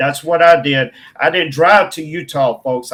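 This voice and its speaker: A man talks with a Southern accent at a moderate pace. His pitch varies in an ordinary way. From Mississippi, US South. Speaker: filmmaker. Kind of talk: interview. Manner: animated.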